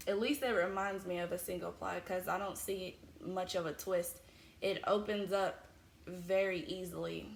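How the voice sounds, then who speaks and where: An ordinary speaking voice from a woman, medium in pitch, moderate in pace, with ordinary pitch variation. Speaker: crochet podcaster. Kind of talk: casual chat.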